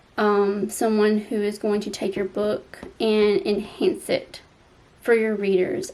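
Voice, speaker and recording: This woman talks with a Southern US accent. Her pitch is medium. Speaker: romance author and YouTuber. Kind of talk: advice vlog. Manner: casual with filler ums.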